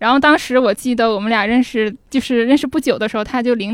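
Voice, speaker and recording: A woman's unremarkable speaking voice, fairly high in pitch, at a fairly quick pace with fairly even intonation. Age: 20s. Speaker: audience guest sharing a story. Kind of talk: casual chat before a live audience. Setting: stage with audience.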